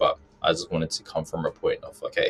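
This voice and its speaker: A man with a British accent. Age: 20s. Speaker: personal finance content creator. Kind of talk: podcast interview.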